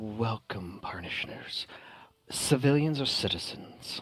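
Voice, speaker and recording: Using a put-on character voice, a soft-spoken man talks at a medium pitch and a fairly slow pace. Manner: polite, soft-spoken.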